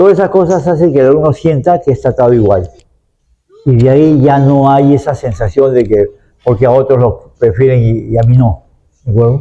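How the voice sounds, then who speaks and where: The man speaks fairly quickly at medium pitch, with ordinary pitch variation and very even loudness. His tone is dark and mellow, and somewhat breathy. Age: 70s. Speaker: university professor interviewed as expert. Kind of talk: interview answers; closing remarks. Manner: hesitant, with fillers and repetitions.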